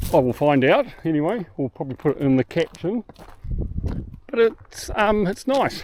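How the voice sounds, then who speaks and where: A man speaks at a high pitch and a moderate pace, with very wide pitch swings. His long, frequent pauses stand out in a dry, close sound with no echo. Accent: New Zealand. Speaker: boating travel vlogger. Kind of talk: casual vlog narration. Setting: outdoors on an island walk.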